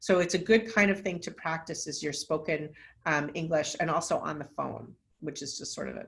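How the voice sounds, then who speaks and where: Here is a woman with an American accent. Her intonation is lively. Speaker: nonprofit executive director and scientist. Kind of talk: webinar lecture. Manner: fast.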